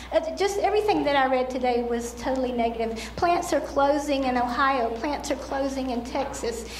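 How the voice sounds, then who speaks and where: A woman's high-pitched voice at a moderate pace, with hardly any pauses, ordinary pitch variation, noticeable background noise and audible room echo. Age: 60s. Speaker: public commenter. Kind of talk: public hearing comment. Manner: halting.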